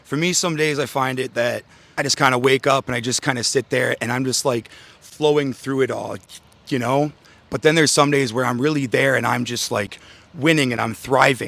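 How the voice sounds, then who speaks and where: An unremarkable speaking voice from a man, medium in pitch, with fairly even intonation at a fairly quick pace. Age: 20s. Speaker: interviewee. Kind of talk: casual interview.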